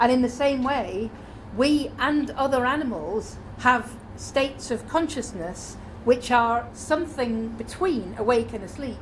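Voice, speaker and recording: A woman with a British accent, a high pitch and ordinary pitch variation, amid audible room echo. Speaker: conference speaker. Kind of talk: conference talk. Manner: fast.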